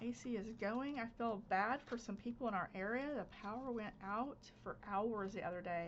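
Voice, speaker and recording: This woman speaks with a Southern US accent. Her pitch sits at a medium level with ordinary pitch variation. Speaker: crafter, channel host. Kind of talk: casual craft-along chat. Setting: home craft space, recorded instead of live.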